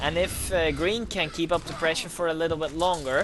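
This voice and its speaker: The speaker has a Dutch accent and keeps a moderate pace. Noticeable background noise runs underneath. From Netherlands. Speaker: video game caster. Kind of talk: live commentary. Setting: livestream.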